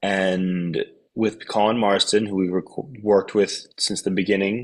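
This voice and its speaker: At a fairly slow pace, a man talks with a fairly low pitch and monotone, flat intonation. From US Northeast, New York City. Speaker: metal band vocalist and guitarist. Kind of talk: interview. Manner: casual.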